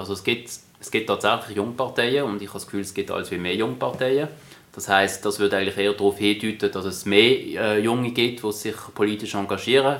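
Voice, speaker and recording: A man with a fairly low pitch rushes along at a very fast pace, his intonation fairly even. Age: young. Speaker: politician. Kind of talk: interview.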